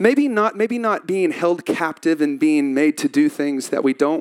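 Animated and high-pitched, a man with a Texan accent makes very wide pitch swings in a dry, close sound with no echo. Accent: Texan Southern US. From Texas. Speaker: pastor. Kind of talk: sermon. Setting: church stage with audience.

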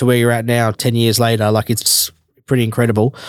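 A man with an Australian accent talks at a medium pitch. His delivery is fairly quick, with monotone, flat intonation. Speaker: podcast host. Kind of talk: casual interview.

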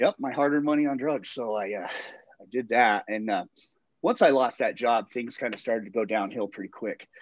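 A man of medium pitch with an American accent, ordinary pitch variation and an unremarkable speaking voice. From Colorado, Littleton. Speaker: person in addiction recovery. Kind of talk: casual chat.

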